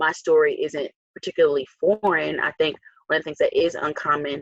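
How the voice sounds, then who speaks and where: With a dry, close sound and no echo, a woman talks at a fairly quick pace in an American accent. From Newark, New Jersey. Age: 20s. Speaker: school board member. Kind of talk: interview.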